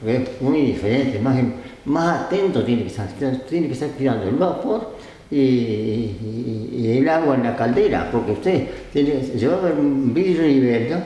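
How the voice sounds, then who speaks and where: Over noticeable background noise, the speech keeps a moderate pace with lively intonation. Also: man, medium pitch for a man. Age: 80s+. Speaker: retired railway engine driver. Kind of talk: interview answer.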